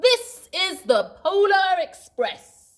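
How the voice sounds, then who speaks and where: A woman's put-on character voice, extremely high in pitch, with very wide pitch swings. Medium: read story.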